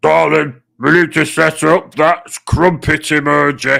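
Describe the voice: On a very clean recording with a silent background, a man puts on a raspy character voice, fairly high in pitch, at a fairly slow pace.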